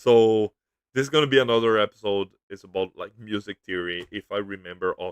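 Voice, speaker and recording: A man speaks in a Brazilian accent at a fairly quick pace. His pitch is fairly low, with ordinary variation. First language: Portuguese. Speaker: YouTuber. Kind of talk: casual livestream commentary. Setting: livestream. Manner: halting.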